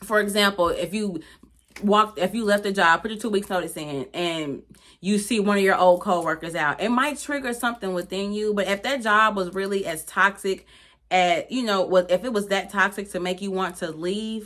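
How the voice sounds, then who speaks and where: A woman's medium-pitched voice, animated in tone with ordinary pitch variation. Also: moderate pace. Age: 30s. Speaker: lifestyle YouTuber. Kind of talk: casual advice vlog.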